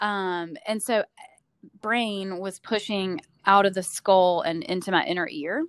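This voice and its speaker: In a Southern US accent, a speaker talks at a fairly slow pace with ordinary pitch variation in a very clean recording with a silent background. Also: woman, medium pitch for a woman. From US South, Georgia. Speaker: nurse practitioner. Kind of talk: casual chat. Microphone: echo, rough audio.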